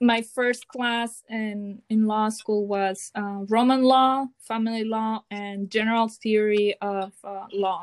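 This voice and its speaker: In a Mexican accent, a woman speaks at a very slow pace with hardly any pauses, her fairly high pitch in a monotone, flat intonation, the sound dry and close with no echo. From Mazatlan, Sinaloa, Mexico. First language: Spanish. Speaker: Spanish teacher and doctoral student. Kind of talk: casual interview chat.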